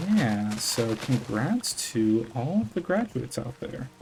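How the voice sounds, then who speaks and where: Quiet and relaxed in tone, a man speaks at a very slow pace against noticeable background noise. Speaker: gaming YouTuber, college student. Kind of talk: casual unedited gameplay commentary. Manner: relaxed, hesitant with fillers.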